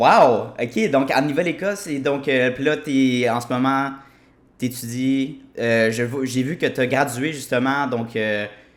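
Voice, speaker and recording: A man's voice at a medium pitch, with ordinary pitch variation and a very slow pace. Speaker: podcast host. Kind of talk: podcast interview.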